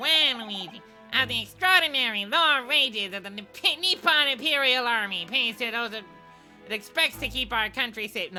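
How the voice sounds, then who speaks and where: A woman's high, theatrical put-on character voice at a moderate pace, with clear music in the background. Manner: exaggerated, theatrical.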